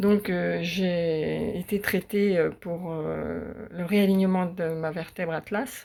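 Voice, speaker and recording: A woman speaks very slowly at a fairly low pitch with fairly even intonation. The recording is very clean, with a silent background. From western France. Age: 60s. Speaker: patient giving testimonial. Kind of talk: testimony. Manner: halting, many hesitations.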